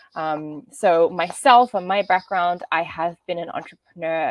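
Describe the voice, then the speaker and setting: In a dry, close recording with no echo, a woman with an Australian accent speaks at a fairly low pitch. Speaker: business development manager, workshop presenter. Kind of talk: online workshop presentation.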